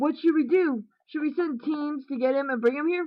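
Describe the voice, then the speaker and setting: A woman uses a put-on character voice with a high pitch, ordinary pitch variation and a moderate pace. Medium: read story.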